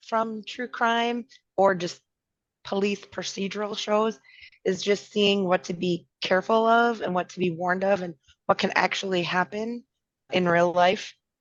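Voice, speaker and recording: A woman with a Minnesotan accent, medium pitch, fairly even intonation, and a moderate pace. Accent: Minnesota. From Minnesota, Twin Cities. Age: 50s. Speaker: podcast co-host. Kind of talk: casual chat.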